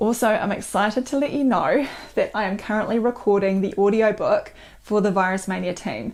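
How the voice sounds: A woman puts on a hoarse character voice in a New Zealand accent, talking fairly quickly at a medium pitch with fairly even intonation.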